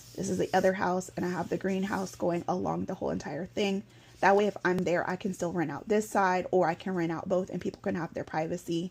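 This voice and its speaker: In an American accent, a woman talks with vocal fry and fairly even intonation. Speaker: vlogger. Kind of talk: casual explainer vlog. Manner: fast.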